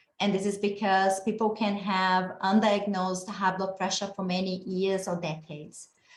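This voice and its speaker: In a Brazilian accent, a woman of medium pitch speaks at a moderate pace with flat, monotone intonation and hardly any pauses. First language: Portuguese. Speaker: geneticist and researcher. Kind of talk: lecture.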